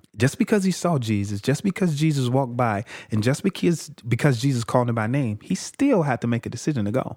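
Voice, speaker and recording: A man talks at a medium pitch and a very fast pace, animated, with lively intonation. The sound is dry and close with no echo, in a very clean recording against a silent background. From Chicago. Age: 30s. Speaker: evangelist and sports team chaplain. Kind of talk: personal testimony in interview.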